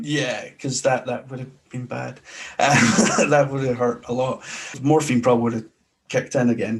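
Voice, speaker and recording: A man talks at a moderate pace and medium pitch. His intonation stays fairly even. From Glasgow, Scotland. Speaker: sports podcaster. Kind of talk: interview answer.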